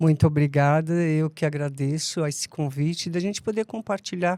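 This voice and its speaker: A woman speaks at a very deep, low pitch in a dark, mellow tone, with ordinary pitch variation. The recording is very clean, with a silent background. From Brazil, São Paulo (Mooca). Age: 70s. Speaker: podcast guest, life coach. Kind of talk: interview conversation.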